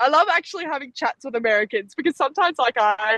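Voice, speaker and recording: An animated woman speaks with an Australian accent and very wide pitch swings. The sound is dry and close, with no echo. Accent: Australian, noticeable abroad. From Australia, Gold Coast. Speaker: Olympic sprinter. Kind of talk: interview. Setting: podcast. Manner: chatty, animated.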